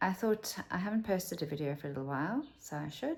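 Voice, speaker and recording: A woman in a South African accent speaks with very wide pitch swings. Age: 50s. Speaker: vlogger. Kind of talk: casual chat.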